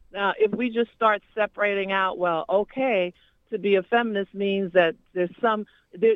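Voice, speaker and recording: A woman's unremarkable speaking voice at a medium pitch, moderate pace, and ordinary pitch variation. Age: 50s. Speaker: community activist. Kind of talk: phone-in call. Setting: phone call.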